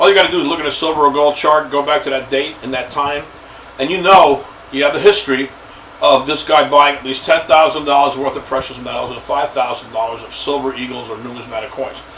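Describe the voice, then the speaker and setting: Over noticeable background noise, a man with a fairly high pitch speaks at a very fast pace, with fairly even intonation and big swings in loudness. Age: old. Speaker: lead list broker. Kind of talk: casual talk to camera. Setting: home office. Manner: halting, many fillers.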